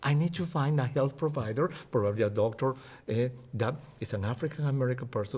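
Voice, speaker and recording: A man with a Spanish accent speaks at medium pitch and a moderate pace, somewhat breathy, with lively intonation. The recording is very clean, with a silent background. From Peru. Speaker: physician and health educator. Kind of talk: interview.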